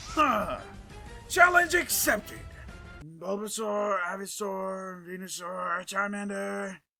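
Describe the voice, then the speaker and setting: In a raspy, put-on character voice of middle pitch, someone speaks at a fairly slow pace with long, frequent pauses as faint music plays in the background. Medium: cartoon. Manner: bombastic, intense.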